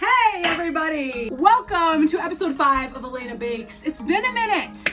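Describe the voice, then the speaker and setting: Over music in the background, a woman with an American accent uses a raised, projected voice at an extremely high pitch with very wide pitch swings. Her loudness swings widely too. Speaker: home baker, cooking channel host. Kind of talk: cooking tutorial. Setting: home kitchen. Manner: fast; animated.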